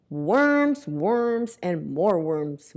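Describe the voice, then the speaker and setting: A woman's put-on character voice at medium pitch, full of very wide pitch swings. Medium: read story.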